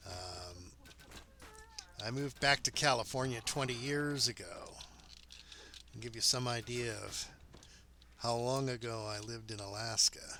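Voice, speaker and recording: A man speaks at a fairly slow pace and medium pitch with long, frequent pauses, big swings in loudness and ordinary pitch variation, over noticeable background noise. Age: 50s. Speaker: game streamer. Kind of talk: casual chat.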